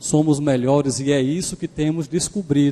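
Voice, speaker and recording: The tone is dark and mellow, with fairly even intonation. Delivery comes at a fairly slow pace. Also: man. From Pernambuco, Brazil. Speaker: guest preacher. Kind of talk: sermon. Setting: church.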